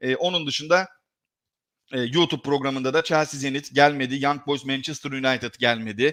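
A man speaks at a fairly high pitch with fairly even intonation. The recording is very clean, with a silent background. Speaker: sports betting analyst. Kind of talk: live stream commentary. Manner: fast.

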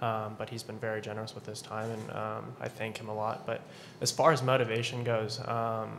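Over light background noise, a man talks at a fairly quick pace in a monotone, flat intonation. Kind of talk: interview answer. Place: hall. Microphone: podium.

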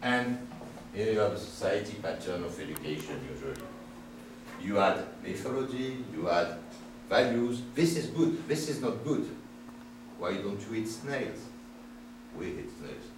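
With a French accent, a man speaks at medium pitch and a fairly slow pace, using lively intonation and long, frequent pauses, amid audible room echo and noticeable background noise. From France. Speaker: professor. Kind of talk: seminar lecture. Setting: seminar room with audience. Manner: provocative, animated. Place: classroom. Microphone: camera far.

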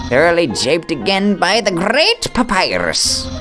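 Clear music plays in the background. A man speaks in a put-on character voice with a fairly high pitch. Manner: grand, excitable.

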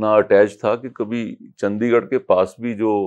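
A man speaks with fairly even intonation, and the background stays quiet. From Punjab, India. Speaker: devotee sharing experiences; interviewee. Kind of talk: interview testimony. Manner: halting. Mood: reflective, devotional. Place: home room. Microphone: lapel.

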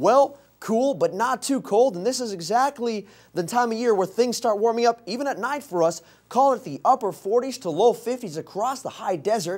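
A man speaks at a moderate pace in an extremely high voice. His pitch varies in an ordinary way over a quiet background. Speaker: meteorologist. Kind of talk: TV weather forecast. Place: studio.

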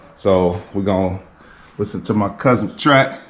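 A man's moderate-paced speech with ordinary pitch variation. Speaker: motorcycle owner vlogger. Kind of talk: casual vlog chat. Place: garage. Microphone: phone near.

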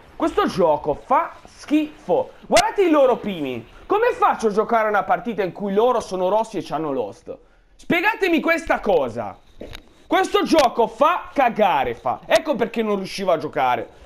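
A man's high-pitched, furious voice with very wide pitch swings, against noticeable background noise. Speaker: gamer streaming gameplay. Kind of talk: angry rant over gameplay commentary, cursing at the game. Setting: recorded gameplay voiceover. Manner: furious, exasperated, loud and cursing; shouting repeated demands, fast and sputtering.

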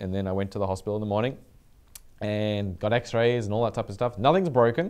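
With an unremarkable speaking voice, a man talks at a fairly low pitch with ordinary pitch variation. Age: 40s. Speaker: developer community show host. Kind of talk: casual chat. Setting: studio. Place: home room. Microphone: headset.

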